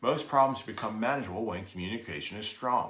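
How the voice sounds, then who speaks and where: A man's fairly low, bright and sharp voice with ordinary pitch variation and audible room echo. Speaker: real estate agent and BPO trainer. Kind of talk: training lesson. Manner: occasional stumbles and self-corrections.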